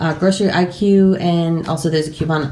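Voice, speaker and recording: Noticeable background noise sits behind a woman speaking. Her pitch is fairly low, with ordinary variation. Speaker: YouTuber doing a grocery haul. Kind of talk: casual haul vlog. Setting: at home at a table. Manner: fast.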